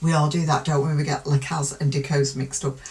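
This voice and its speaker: A woman with a very deep, low pitch sounds somewhat breathy, her intonation fairly even. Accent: British. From UK. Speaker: true crime youtuber. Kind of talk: casual commentary.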